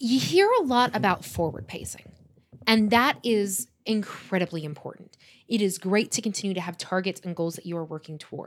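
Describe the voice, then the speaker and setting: Using an unremarkable speaking voice, a woman at a medium pitch talks at a moderate pace with lively intonation and big swings in loudness. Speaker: podcast host, entrepreneur and vocalist. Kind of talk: casual chat between spouses.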